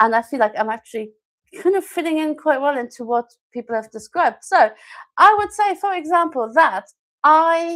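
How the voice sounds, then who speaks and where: With a German accent, a woman talks at a moderate pace in a high voice that swings very widely in pitch. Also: very clean recording, silent background. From Germany. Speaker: language teacher and live-stream host. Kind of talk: live-stream talk to viewers. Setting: YouTube live stream. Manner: hesitant, many fillers.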